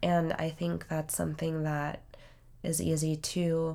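Music plays in the background. Over it, a woman with a fairly low pitch speaks in a monotone, flat way. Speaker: podcast co-host and musician. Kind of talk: casual chat.

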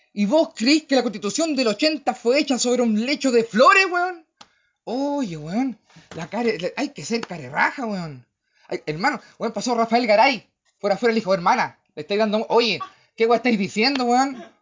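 This man has a Chilean accent and an extremely high pitch. He talks at a moderate pace with lively intonation. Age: 30s. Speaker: podcast host. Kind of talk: casual political monologue. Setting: livestream. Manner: animated.

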